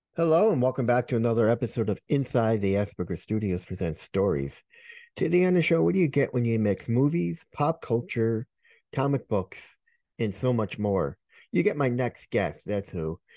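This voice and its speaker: Against a quiet background, a man with a dark, mellow tone speaks at a moderate pace with very wide pitch swings. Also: medium pitch for a man, dry, close sound with no echo. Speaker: podcast host. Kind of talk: casual interview chat.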